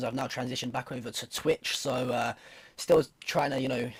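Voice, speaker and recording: The speaker talks at a fairly quick pace. The accent is British. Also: man. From UK. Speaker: streamer and esports commentator. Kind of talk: casual interview on esports broadcast.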